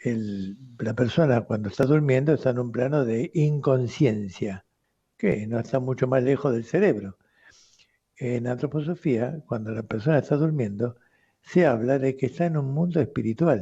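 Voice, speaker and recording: Somewhat breathy, a man's voice at a medium pitch moves at a moderate pace with ordinary pitch variation. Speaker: radio host, doctor. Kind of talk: radio talk answering listener letters. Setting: radio studio.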